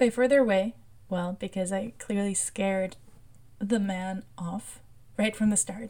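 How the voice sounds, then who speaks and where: At a fairly slow pace, a woman speaks with long, frequent pauses. Her medium-pitched voice is somewhat breathy, with a dark, mellow tone. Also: fairly even intonation. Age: 20s. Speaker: podcast host. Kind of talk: personal monologue.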